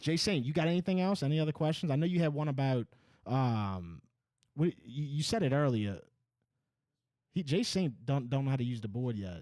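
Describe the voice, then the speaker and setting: With a slight Northeastern US accent, a man speaks in a fairly high pitch and a dark, mellow tone, his intonation lively and his pace fairly quick despite long, frequent pauses. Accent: slight Northeast US, Boston-like. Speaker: podcast host. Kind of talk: casual chat.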